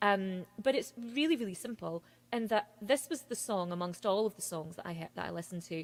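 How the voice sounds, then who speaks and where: With a Scottish accent, a woman at a medium pitch talks at a fairly quick pace with lively intonation. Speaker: singer-songwriter. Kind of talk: casual interview chat. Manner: fast.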